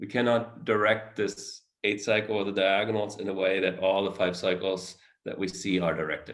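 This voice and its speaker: A plain, everyday voice, a man at a moderate pace with fairly even intonation. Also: fairly low pitch for a man. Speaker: mathematics researcher. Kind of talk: academic seminar talk with Q&A. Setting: virtual talk.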